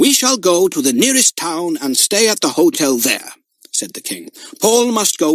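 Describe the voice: The background stays quiet. Someone reads aloud plainly.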